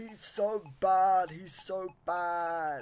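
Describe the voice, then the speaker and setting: The speaker uses a put-on character voice. The pitch sits in the middle range. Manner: mocking.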